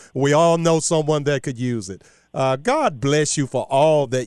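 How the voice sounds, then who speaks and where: A man talks in an animated tone at a moderate pace. The background is quiet. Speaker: radio host. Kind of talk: live radio talk show with commentary. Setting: radio studio, live broadcast. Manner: animated, jovial.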